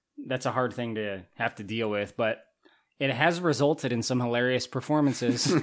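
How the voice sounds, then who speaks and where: This is a normal speaking voice at a moderate pace. Its pitch moves an ordinary amount. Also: man, medium pitch for a man. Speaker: podcast host. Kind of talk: casual comedic banter about a movie.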